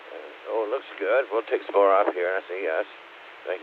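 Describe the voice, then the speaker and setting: A man's voice over noticeable background noise. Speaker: amateur radio operator. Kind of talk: radio net check-in. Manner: halting.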